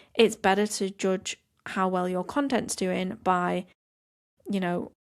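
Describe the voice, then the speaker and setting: Very slow delivery on a very clean recording with a silent background. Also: woman, medium pitch for a woman. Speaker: podcast host, social media coach. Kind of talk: podcast monologue, practical advice.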